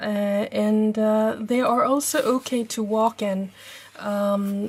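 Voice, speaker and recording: A woman with a Norwegian accent speaks at a very slow pace. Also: fairly high pitch for a woman, fairly even intonation. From Norway. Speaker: travel vlogger. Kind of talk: tutorial. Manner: halting, many fillers.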